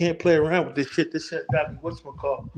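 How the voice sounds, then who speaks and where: The speech is very fast, with ordinary pitch variation. The background is quiet. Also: man. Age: 60s. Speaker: former bodyguard. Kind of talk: casual chat.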